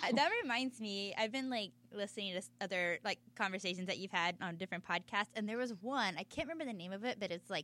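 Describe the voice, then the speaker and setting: With an American accent, a woman speaks fairly quickly in a bright, sharp tone with ordinary pitch variation. The recording is very clean, with a silent background. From Texas. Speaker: podcast host. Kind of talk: casual interview chat. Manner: fast talker; excitable.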